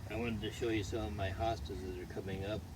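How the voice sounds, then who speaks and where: A man speaks at a fairly low pitch with ordinary pitch variation, while noticeable background noise and audible room echo fill the recording. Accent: American. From US, Washington DC. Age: 80s+. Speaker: retired gardener. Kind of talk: casual interview.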